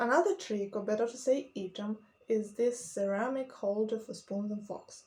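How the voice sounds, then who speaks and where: Her pitch is fairly high. This woman talks at a moderate pace. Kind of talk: casual talk to camera.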